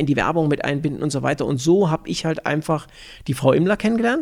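The man speaks at a very fast pace. His pitch is fairly high. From Thuringia and Upper Franconia, Germany. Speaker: business manager. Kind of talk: interview.

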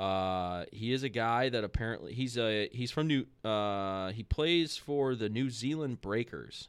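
A plain, everyday voice speaks at a fairly slow pace with ordinary pitch variation. There are hardly any pauses. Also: man, medium pitch for a man. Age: 30s. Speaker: podcast host. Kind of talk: casual chat.

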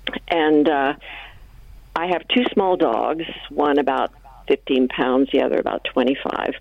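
With noticeable background noise around her, a woman speaks at a very slow pace with long, frequent pauses. Her pitch is very deep and low, and her loudness stays very even. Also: ordinary pitch variation. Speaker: caller. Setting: phone call.

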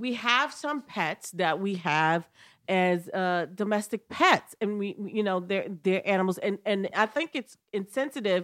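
In an ordinary speaking voice, a woman talks at a fairly slow pace with medium pitch and ordinary pitch variation on a very clean recording with a silent background. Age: 50s. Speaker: comedian. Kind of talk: casual chat.

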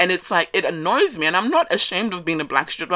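Talking at a very fast pace, a woman has a bright, sharp tone and an animated delivery. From West Africa, raised in Australia. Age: 20s. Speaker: podcast host. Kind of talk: casual monologue. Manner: loud.

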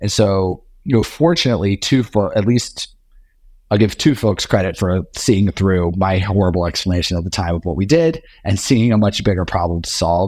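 A man with a fairly low pitch and an ordinary speaking voice speaks at a moderate pace with ordinary pitch variation in a very clean recording with a silent background. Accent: American. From US South, Richmond, Virginia. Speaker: tech company CEO. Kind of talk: interview.

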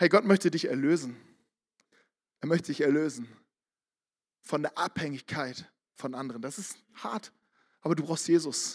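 This man speaks at a moderate pace and a fairly high pitch, with ordinary pitch variation. His volume rises and falls sharply, broken by long, frequent pauses. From northern Germany, Barmstedt near Hamburg. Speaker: pastor. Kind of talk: sermon. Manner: animated.

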